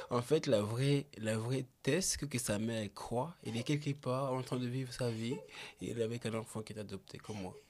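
A man talks at a moderate pace with hardly any pauses. His pitch is medium, with ordinary variation. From Réunion. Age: 20s. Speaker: photographer and musician. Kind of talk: casual chat. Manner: halting.

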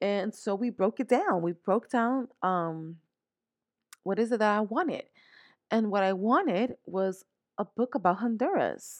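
Speaking fairly slowly in a New York accent, a woman sounds animated and leaves long, frequent pauses, with a dry, close sound free of echo. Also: fairly high pitch for a woman, ordinary pitch variation, quiet background. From New York, the Bronx. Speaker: podcast host. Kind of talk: motivational monologue.

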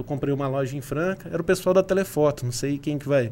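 Here is a man with an ordinary speaking voice and ordinary pitch variation. He talks at a fairly quick pace. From southern Minas Gerais, Brazil (São Sebastião do Paraíso). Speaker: e-commerce agency founder. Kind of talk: casual interview.

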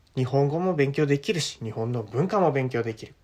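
In a very clean recording with a silent background, a man with a medium pitch and a somewhat breathy, relaxed tone speaks at a fairly quick pace, his pitch swinging very widely. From Japan. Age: 20s. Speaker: podcast host, university student. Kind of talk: casual monologue for language learners. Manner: relaxed, many fillers.

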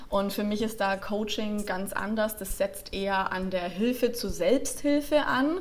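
A woman speaks in an unremarkable speaking voice with a fairly high pitch and ordinary pitch variation. She goes at a fairly slow pace with hardly any pauses. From Franconia, Germany (Nuremberg). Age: 20s. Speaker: life and stress coach. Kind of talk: podcast interview.

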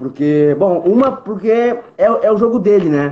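The voice belongs to a man. He uses ordinary pitch variation. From southern Brazil, Porto Alegre. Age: 20s. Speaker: MMA fighter. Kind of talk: casual chat.

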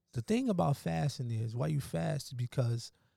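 This man's voice has a medium pitch and a dark, mellow tone, and it is somewhat breathy. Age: 30s. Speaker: alkaline vegan health advocate. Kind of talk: casual chat.

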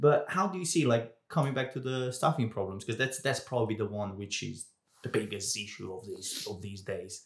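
A man with a medium pitch talks at a fairly quick pace, his somewhat breathy voice showing lively intonation and big swings in loudness. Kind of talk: casual interview.

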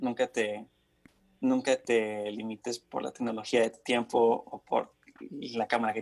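This is a man speaking. His pitch is medium. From Mexico, raised partly in Honduras and the US. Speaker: student and content creator. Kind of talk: casual chat.

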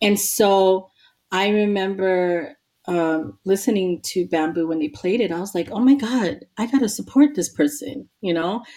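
A woman with an American accent talks at a fairly slow pace in an unremarkable speaking voice. Her medium pitch moves with lively intonation. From New York City, Queens. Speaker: hip hop DJ and activist. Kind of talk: casual interview.

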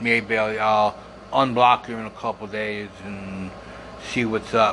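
Noticeable background noise runs under a man speaking at a fairly slow pace. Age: 50s. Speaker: podcaster and Facebook group founder. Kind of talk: casual monologue podcast. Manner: halting.

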